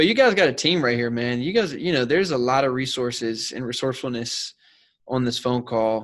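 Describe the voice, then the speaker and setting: This man has a normal speaking voice at medium pitch, talking at a fairly quick pace with ordinary pitch variation on a very clean recording with a silent background. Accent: American. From South Carolina. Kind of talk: mentoring Q&A chat.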